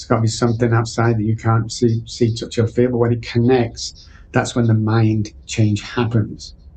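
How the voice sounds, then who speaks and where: A man with an English accent speaks at a medium pitch in a dark, mellow, somewhat breathy tone. His intonation is monotone and flat, at a moderate pace. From England. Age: 60s. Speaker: addiction recovery coach. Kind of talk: podcast interview.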